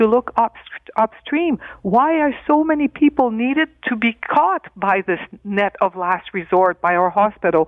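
In a passionate tone, a woman speaks at a moderate pace with very wide pitch swings. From Northern Ontario, Canada. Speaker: provincial politician. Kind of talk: radio panel discussion.

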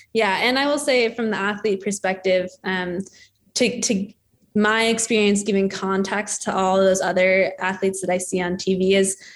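Using an unremarkable speaking voice, a woman with an American accent talks at a moderate pace and medium pitch with fairly even intonation. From Denver, Colorado, US. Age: 20s. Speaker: ski jumper. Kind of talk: casual interview.

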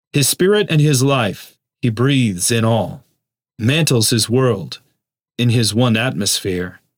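On a very clean recording with a silent background, a man in an ordinary speaking voice talks at a fairly slow pace, his medium pitch moving with ordinary variation. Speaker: podcast host. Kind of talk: meditation with a poem read aloud, in a hushed, solemn devotional tone. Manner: slow, reverent, measured, soft-spoken.

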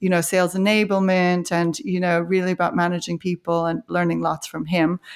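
A woman with an unremarkable speaking voice talks at a fairly quick pace and medium pitch in a very clean recording with a silent background and a dry, close sound with no echo. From Canada. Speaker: marketing executive. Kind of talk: interview.

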